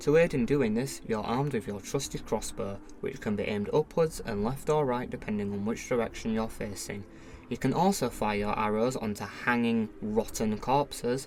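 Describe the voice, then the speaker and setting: The speaker has a northern English accent and keeps a moderate pace. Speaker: video game reviewer. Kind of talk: scripted review narration.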